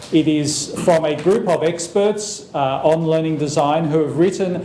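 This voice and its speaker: Over noticeable background noise and audible room echo, a man speaks at a moderate pace with a fairly high pitch. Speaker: professor. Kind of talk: lecture.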